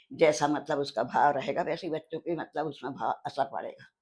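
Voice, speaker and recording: Her very deep, low pitch and dark, mellow tone come with monotone, flat intonation as the woman speaks. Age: 80s+. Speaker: elderly homemaker interviewee. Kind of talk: interview, casual chat. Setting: kitchen.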